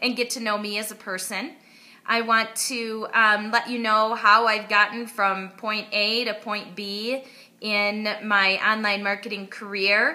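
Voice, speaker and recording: This woman has a fairly high pitch. She speaks with a slight Wisconsin accent. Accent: Midwestern (Wisconsin), slight. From US Midwest, Wisconsin. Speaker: online marketer. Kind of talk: personal story to camera.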